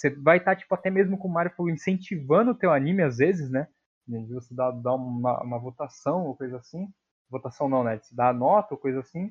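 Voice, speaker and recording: A man with a plain, everyday voice talks at a fairly high pitch and fairly quick pace. His intonation is lively, with big swings in loudness. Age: young. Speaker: podcast co-host. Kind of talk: casual chat.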